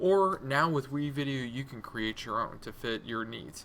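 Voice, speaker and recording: A man's fairly high voice at a moderate pace with ordinary pitch variation. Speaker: instructional technology trainer. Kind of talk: tutorial. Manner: casual, says um a lot.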